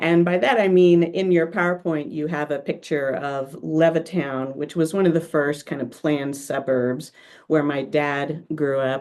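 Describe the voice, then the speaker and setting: Fairly even intonation in an Oklahoma accent, a fairly slow pace with hardly any pauses. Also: woman, very deep, low pitch for a woman. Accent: American, Oklahoma. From US, Oklahoma. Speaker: workshop presenter. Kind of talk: presentation over video call. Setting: video call.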